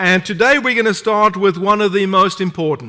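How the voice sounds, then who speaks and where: A man with a non-native accent, high-pitched, bright and sharp, raised and projected, at a moderate pace. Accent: foreign. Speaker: preacher. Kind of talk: sermon. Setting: church.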